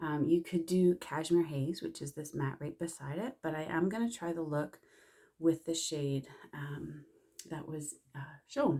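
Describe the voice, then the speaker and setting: Soft-spoken and fairly low in pitch, a woman with a Canadian accent speaks in a dark, mellow tone. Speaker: makeup consultant. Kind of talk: tutorial. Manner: casual.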